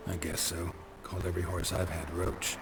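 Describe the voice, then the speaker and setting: A man speaks in a put-on character voice, very deep and low, at a fairly quick pace. Loud background noise fills the clip. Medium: machinima. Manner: terse, deadpan.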